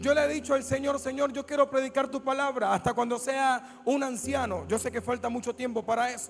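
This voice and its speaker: Speaking at a fairly quick pace with hardly any pauses, a man uses an extremely high pitch. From Colombia, Buenaventura (Pacific coast). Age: young. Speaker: pastor. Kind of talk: sermon. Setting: church service with congregation. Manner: animated.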